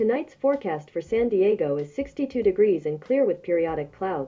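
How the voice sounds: A woman speaks with lively intonation and a dark, mellow tone while faint music plays in the background. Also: medium pitch for a woman, moderate pace.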